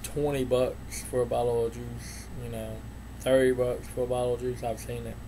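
A Southern US accent at a moderate pace. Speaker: vape reviewer, YouTuber. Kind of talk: product review vlog. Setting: home, on camera. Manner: many fillers, casual.

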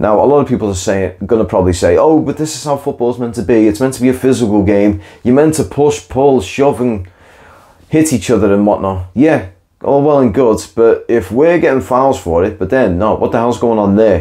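A man's dark, mellow voice with lively intonation at a fairly quick pace. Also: medium pitch for a man.

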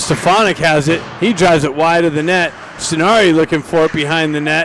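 Speaking at a fairly quick pace with fairly even intonation and very even loudness, a high-pitched man is heard in a dry recording with no echo and light background noise. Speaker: hockey play-by-play announcer. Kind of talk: live play-by-play commentary. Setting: live at the rink. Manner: shifts to relaxed, laughing banter with coaches when play stops. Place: stadium.

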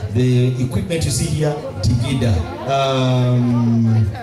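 Clear music plays in the background. Over it, a man talks with fairly even intonation. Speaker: event MC. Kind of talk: MC stage announcement. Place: stage. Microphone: pa.

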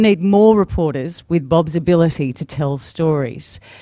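A woman with an Australian accent, fairly low-pitched with a dark, mellow tone, at a moderate pace, in a dry sound with no echo and a quiet background. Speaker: TV news anchor, moderator. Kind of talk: speaker introduction at a conference. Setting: conference stage with audience. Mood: warm, lightly humorous. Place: hall. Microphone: podium.

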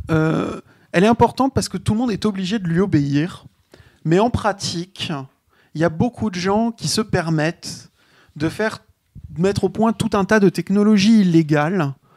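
A man talks at a fairly slow pace with ordinary pitch variation. The sound is dry and close with no echo, on a very clean recording with a silent background. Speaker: game designer. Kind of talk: casual discussion.

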